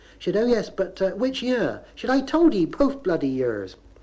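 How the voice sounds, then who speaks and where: Dark and mellow, this man's tone stands out. Very wide swings run through his pitch. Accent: Bristol. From Bristol, England. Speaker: dialect humorist. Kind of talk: comic monologue on local dialect.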